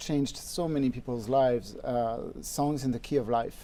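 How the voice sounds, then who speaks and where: At a moderate pace, a man talks with a dark, mellow tone. His voice sits at a medium pitch. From France, Normandy. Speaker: harmonica player. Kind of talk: interview. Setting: studio.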